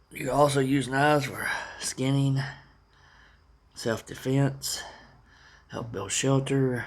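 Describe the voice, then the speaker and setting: The voice moves at a very slow pace with long, frequent pauses and monotone, flat intonation. Its loudness swings widely, and room echo is audible. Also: man, medium pitch for a man. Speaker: prepping vlogger. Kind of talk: casual monologue. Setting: at home, family asleep nearby. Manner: halting.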